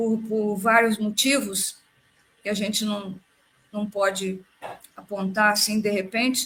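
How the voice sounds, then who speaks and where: A woman speaks very slowly in a fairly high pitch, with long, frequent pauses. Her intonation is monotone and flat. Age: 80s+. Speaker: panel guest in spiritist discussion. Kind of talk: casual discussion in a live stream.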